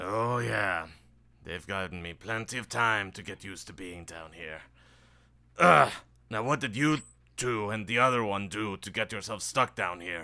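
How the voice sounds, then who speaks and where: On a very clean recording with a silent background, a man puts on a raspy character voice at a fairly low pitch. His loudness swings widely, and he leaves long, frequent pauses. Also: moderate pace, ordinary pitch variation. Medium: actual play. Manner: weary, grumbling.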